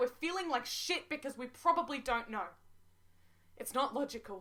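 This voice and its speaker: In a high, bright, sharp tone, a woman uses a raised, projected voice at a fairly quick pace. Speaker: spoken word poet. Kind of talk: spoken word poetry. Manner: earnest, emotional.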